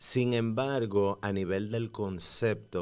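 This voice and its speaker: Male speech on a very clean recording, the background silent. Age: 30s. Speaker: playwright, actor and dancer. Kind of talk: casual interview.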